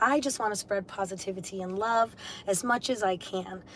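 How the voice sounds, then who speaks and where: Amid noticeable background noise, a woman's medium-pitched voice moves at a fairly quick pace with ordinary pitch variation. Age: 30s. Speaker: livestreamer reading books aloud. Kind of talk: casual livestream chat. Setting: live stream. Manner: occasional stutter; warm, effusive.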